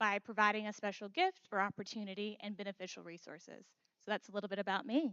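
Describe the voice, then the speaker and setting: A woman talks at a very fast pace in a medium pitch. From US South, near Atlanta. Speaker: marketing professional. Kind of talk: panel discussion.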